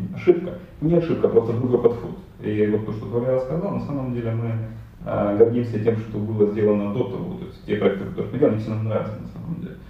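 Over noticeable background noise, a man talks very fast at a medium pitch, with ordinary pitch variation and big swings in loudness. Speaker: IT company co-founder. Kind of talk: podcast interview.

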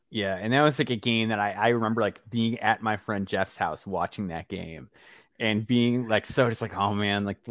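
In an American accent, this is an ordinary speaking voice moving at a fairly quick pace with fairly even intonation. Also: man. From US Midwest, Chicago area. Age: 30s. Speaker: basketball podcast host. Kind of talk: casual interview.

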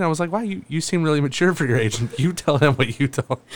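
A man's lively intonation comes across despite noticeable background noise. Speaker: podcast co-host. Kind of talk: casual chat.

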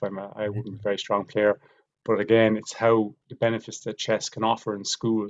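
At a fairly quick pace, a man talks in a fairly low pitch with monotone, flat intonation. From Ireland, Wexford. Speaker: teaching principal and chess organiser. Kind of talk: casual interview chat.

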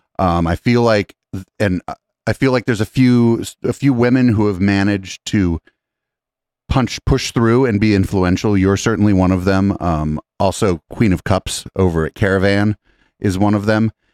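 In a normal speaking voice, a man with a fairly low pitch and ordinary pitch variation talks at a moderate pace, the sound dry and close with no echo on a very clean recording with a silent background. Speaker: podcast host and producer. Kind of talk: casual interview. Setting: studio.

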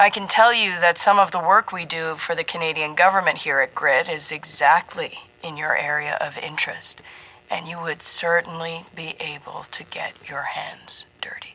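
A woman's put-on character voice, booming and fairly low-pitched, at a moderate pace with big swings in loudness. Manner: genial, booming, oozing charm.

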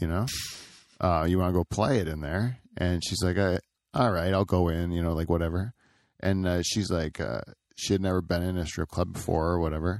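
Recorded very cleanly with a silent background, a man with a Canadian accent and a very deep, low voice talks at a moderate pace, the sound dry and close with no echo. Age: 40s. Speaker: podcast host. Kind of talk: casual chat.

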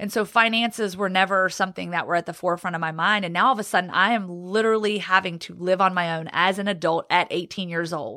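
Speaking very fast with hardly any pauses, a woman with an American accent has a medium pitch, a bright, sharp tone and fairly even intonation. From Virginia, US (Roanoke). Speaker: sports reporter. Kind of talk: testimony.

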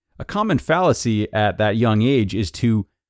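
In a plain, everyday voice, a man speaks at a fairly low pitch and a fairly slow pace. The recording is very clean and dry, close with no echo, with a silent background. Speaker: podcast host. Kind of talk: reading aloud; casual commentary.

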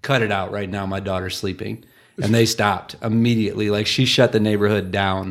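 In a very clean recording with a silent background, a man with an American accent talks at a fairly quick pace in a fairly low pitch and a normal speaking voice. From Michigan. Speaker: podcast host, stay-at-home dad. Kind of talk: casual chat.

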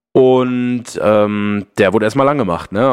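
At medium pitch, a man talks with an unremarkable speaking voice and fairly even intonation. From Ruhr area, Germany. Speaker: football podcaster. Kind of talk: casual chat.

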